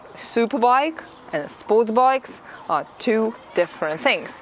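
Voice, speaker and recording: Noticeable background noise accompanies a voice with a non-native accent. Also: woman. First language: not English. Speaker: motorcycle vlogger. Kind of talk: vlog review.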